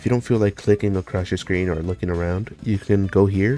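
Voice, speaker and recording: Over music in the background, a man speaks in a relaxed tone with a very deep, low pitch and fairly even intonation. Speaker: gaming video creator. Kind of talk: casual gameplay commentary. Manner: casual, relaxed.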